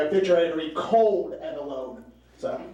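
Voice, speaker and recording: A man's voice with very wide pitch swings, audible room echo, and noticeable background noise. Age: 30s. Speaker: stand-up comedian. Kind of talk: stand-up. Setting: stage with audience.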